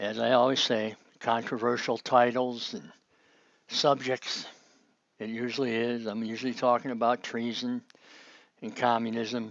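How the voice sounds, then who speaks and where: A man with an American accent talks at medium pitch and a moderate pace. His delivery is monotone and flat, with long, frequent pauses. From Chicago, US Midwest. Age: 60s. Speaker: political commentator. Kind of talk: online monologue. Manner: casual, rambling with fillers.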